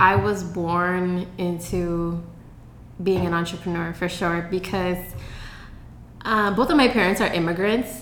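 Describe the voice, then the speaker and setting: Over noticeable background noise and audible room echo, a woman with an American accent speaks at a fairly slow pace. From Seattle, Washington (south side). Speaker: social media marketing agency owner. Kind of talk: interview. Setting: in person in Seattle.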